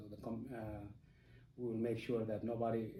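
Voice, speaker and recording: Somewhat breathy and medium in pitch, a man speaks at a moderate pace with audible room echo. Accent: South Sudanese. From South Sudan, Dinka. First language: Dinka. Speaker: interviewee. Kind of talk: interview. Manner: halting, many fillers.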